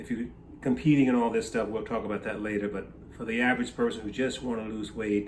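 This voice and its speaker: This is a man's voice. The room gives it an audible echo. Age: 60s. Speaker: bodybuilder and fitness advisor. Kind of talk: casual advice talk to camera. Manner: conversational with frequent fillers.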